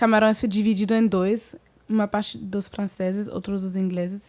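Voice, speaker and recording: A woman with a French accent, in a very clean recording with a silent background. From Senegal and Cameroonian family, francophone. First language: French (speaking Portuguese). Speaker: singer, guest. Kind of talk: casual interview.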